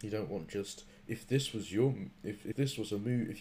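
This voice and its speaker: A man speaks in a dark, mellow tone. His voice is somewhat breathy. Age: 20s. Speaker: comedy podcast host. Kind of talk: casual chat.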